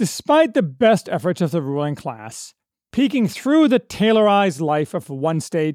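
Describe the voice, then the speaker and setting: On a very clean recording with a silent background and a dry, close sound with no echo, a man talks in a high voice. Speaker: podcast host reviewer. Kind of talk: literary audiobook-style review narration, read from a script. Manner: earnest, authoritative essayist delivery.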